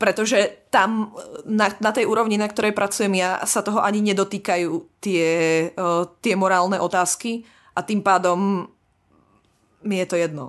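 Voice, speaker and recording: Against a quiet background, a woman speaks at a moderate pace and medium pitch with fairly even intonation, very even loudness, and long, frequent pauses. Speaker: PhD student in biotechnology. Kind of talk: casual chat.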